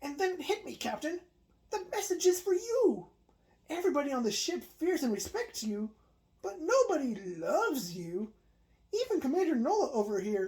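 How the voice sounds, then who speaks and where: A woman puts on a character voice, pitched high with very wide swings. She speaks at a moderate pace. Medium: read story.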